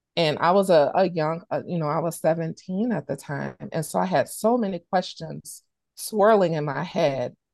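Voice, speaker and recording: At a moderate pace, a woman with an American accent speaks in a fairly low pitch with ordinary variation, over a quiet background. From Chicago, Illinois, US Midwest. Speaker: healthcare equity program director. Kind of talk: interview conversation.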